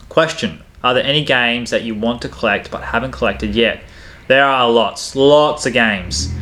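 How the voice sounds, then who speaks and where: Using an Australian accent, a man talks at a moderate pace with ordinary pitch variation and long, frequent pauses. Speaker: gaming YouTuber, Nintendo collector. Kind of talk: Q&A, reading viewer questions. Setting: home game room. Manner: casual, hesitant with fillers.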